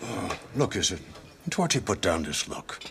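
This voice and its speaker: The speaker uses a put-on character voice at a moderate pace. Background noise is clearly audible. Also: man, medium pitch for a man. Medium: short film. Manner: blunt, probing.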